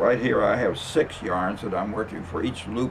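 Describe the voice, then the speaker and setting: Through noticeable background noise, a man speaks at a fairly slow pace with lively intonation. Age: 90s. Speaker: rug maker. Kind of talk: tutorial. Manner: halting.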